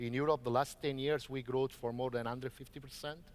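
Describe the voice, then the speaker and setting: A man with an Italian accent talks at a very fast pace. His medium pitch shows ordinary variation. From Italy. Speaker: organic farming advocate. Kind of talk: panel debate.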